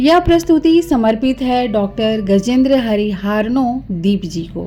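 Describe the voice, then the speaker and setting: Music plays in the background. Over it, a woman speaks at a fairly high pitch with lively intonation. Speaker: narrator. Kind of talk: biographical documentary narration.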